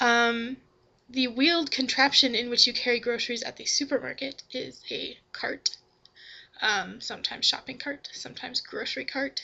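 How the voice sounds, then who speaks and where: A woman speaks at a moderate pace in a relaxed tone, her pitch high. Her loudness swings widely while her pitch varies in an ordinary way. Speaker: vlogger. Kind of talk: casual talk to camera, answering a questionnaire. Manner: relaxed, with frequent 'um'.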